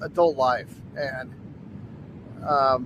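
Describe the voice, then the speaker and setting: The recording has a man talking amid noticeable background noise. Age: 60s. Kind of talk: casual talk to camera. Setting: outdoors.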